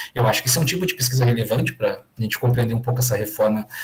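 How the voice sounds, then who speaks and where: The voice is somewhat breathy and carries a Rio Grande do Sul accent. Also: man. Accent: gaúcho (Rio Grande do Sul). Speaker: education professor. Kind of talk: online lecture Q&A. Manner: hesitant, many fillers.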